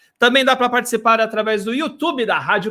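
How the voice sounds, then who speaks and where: An animated man's raised, projected voice, extremely high in pitch and bright and sharp in tone, on a very clean recording with a silent background. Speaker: web radio host. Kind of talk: live radio show. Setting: home studio, live broadcast.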